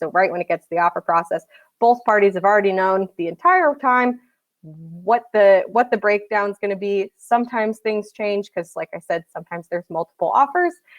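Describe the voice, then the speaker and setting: A woman speaks in a normal speaking voice at medium pitch with ordinary pitch variation and a fairly quick pace. The sound is dry and close, with no echo. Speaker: recruiting agency director. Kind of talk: conference presentation.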